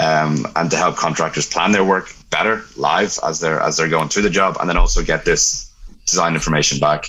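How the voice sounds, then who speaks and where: Noticeable background noise sits behind a man talking with an Irish accent. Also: moderate pace. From Ireland. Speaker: robotics product manager. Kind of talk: casual interview.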